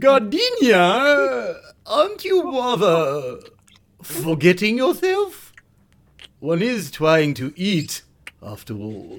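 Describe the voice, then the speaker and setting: Speaking very slowly in a high pitch, a man leaves long, frequent pauses and makes big swings in loudness. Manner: gushing, theatrical.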